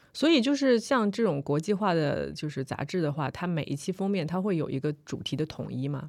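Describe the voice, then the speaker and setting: With a plain, everyday voice, a woman speaks fairly low and fairly quickly with lively intonation. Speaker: podcast host. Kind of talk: casual chat.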